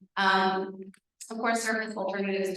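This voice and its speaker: There is audible room echo around a woman speaking. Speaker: transit project presenter. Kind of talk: public presentation. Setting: community meeting. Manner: fast.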